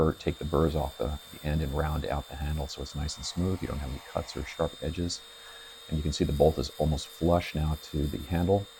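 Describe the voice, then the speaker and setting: Noticeable background noise sits behind a man with a very deep, low pitch. He talks at a fairly quick pace with fairly even intonation. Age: 60s. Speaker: EDC tool reviewer. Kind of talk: tutorial. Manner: halting.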